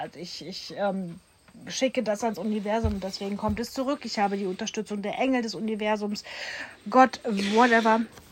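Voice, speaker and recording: A woman talks in a plain, everyday voice, her pitch medium and her pace moderate. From Germany, Duisburg (Ruhr area). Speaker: podcast host, coach. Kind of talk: casual chat.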